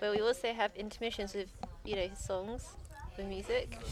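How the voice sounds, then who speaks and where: A woman with a southern English accent talks at a fairly quick pace over noticeable background noise. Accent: British, southern English. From London, England. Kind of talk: casual chat.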